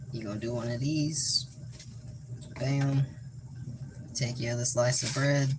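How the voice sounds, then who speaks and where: A man in a flat monotone with long, frequent pauses, against noticeable background noise. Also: medium pitch for a man, fairly slow pace. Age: 20s. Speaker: livestreamer. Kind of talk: casual livestream chat while cooking.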